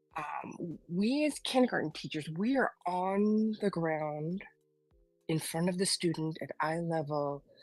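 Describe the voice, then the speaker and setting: With music in the background, a woman speaks at a fairly slow pace in a fairly low pitch with lively intonation. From Philippines. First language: not English (third language). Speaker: kindergarten teacher. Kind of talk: panel discussion. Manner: halting, many fillers.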